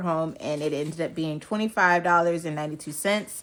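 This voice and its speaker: Fairly even intonation marks this woman's fairly low-pitched voice. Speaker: personal finance vlogger. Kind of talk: casual budgeting vlog. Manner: mumbling; casual, filler-heavy.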